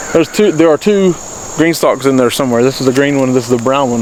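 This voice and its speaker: Over noticeable background noise, a man with a Southern accent talks at a fairly high pitch with ordinary pitch variation. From US South, North Carolina Blue Ridge foothills. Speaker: homesteader and gardening channel host. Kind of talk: casual garden tour.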